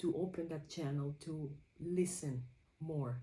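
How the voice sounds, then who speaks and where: A woman with a very deep, low pitch talks at a fairly slow pace, her somewhat breathy, dark, mellow voice flat and monotone, with audible room echo. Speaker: creativity journaling vlogger. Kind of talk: personal reflection vlog. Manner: halting.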